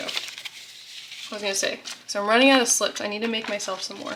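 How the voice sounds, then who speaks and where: Noticeable background noise is heard. Over it, a woman talks at a fairly high pitch. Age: 20s. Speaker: budgeting vlogger. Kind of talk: casual tutorial vlog. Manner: casual with many fillers.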